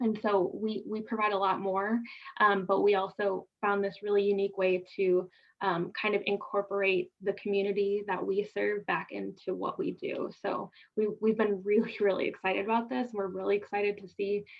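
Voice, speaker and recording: The speaker has a northern US accent. The delivery is monotone and flat, at a moderate pace. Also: woman, medium pitch for a woman. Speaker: health department program representative. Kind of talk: online information session Q&A. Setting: video call.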